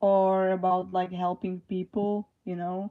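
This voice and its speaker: A woman's dark, mellow voice at medium pitch and a fairly slow pace. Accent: non-native. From Slovakia. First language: Slovak. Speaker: livestreamer. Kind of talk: live stream chat. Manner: halting.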